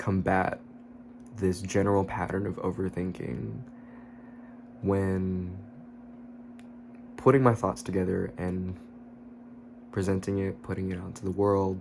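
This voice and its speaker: A man is whispering. His voice is quiet. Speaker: YouTuber. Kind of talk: casual vlog monologue. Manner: low, quiet voice, partly whispered.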